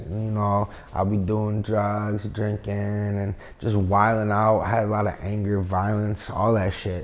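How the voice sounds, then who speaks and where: A man talks at a moderate pace. His voice sits at a fairly low pitch. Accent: upstate New York. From upstate New York, Binghamton area. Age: 30s. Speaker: rapper. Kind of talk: casual interview.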